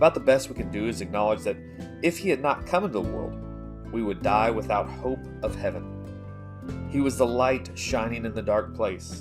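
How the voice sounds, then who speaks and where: With music in the background, a man of fairly low pitch speaks at a moderate pace with lively intonation. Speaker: church reader. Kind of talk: reading of a religious essay.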